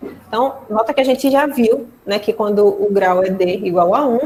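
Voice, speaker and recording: Here we hear a woman talking. The rise and fall of her pitch is ordinary. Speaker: mathematics lecturer. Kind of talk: online lecture.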